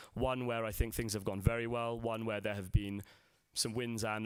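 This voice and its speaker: A man with a London accent and a fairly low pitch speaks in a monotone, flat intonation at a moderate pace. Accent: London accent, remarked by himself. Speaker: salt industry executive. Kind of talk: conference presentation. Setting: stage with audience at a conference. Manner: hesitant, many fillers.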